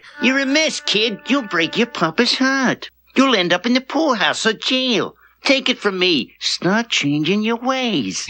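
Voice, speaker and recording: A female-sounding voice puts on a character in a New York accent, pitched fairly high and delivered at a fairly slow pace. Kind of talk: scolding, street-wise.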